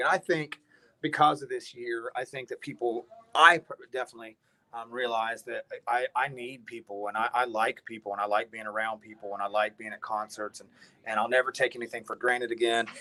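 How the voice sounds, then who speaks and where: A man with an Appalachian accent, medium pitch and a bright, sharp tone, at a fairly quick pace in a dry, close sound with no echo. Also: ordinary pitch variation. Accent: Appalachian American. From West Virginia. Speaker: hard rock band musician. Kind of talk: casual chat.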